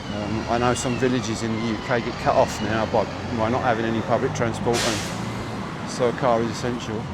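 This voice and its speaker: Amid noticeable background noise and audible room echo, a man with a southeast English accent speaks fairly quickly in a medium pitch with monotone, flat intonation. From southeast England, Chatham, Kent. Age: 60s. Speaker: walking livestreamer. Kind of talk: casual chat. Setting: outdoors. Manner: halting.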